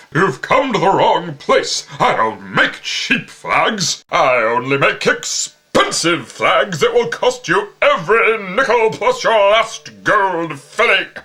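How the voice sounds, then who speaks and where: A man projects a raised, put-on character voice at a fairly slow pace with hardly any pauses. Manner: indignant, shouting.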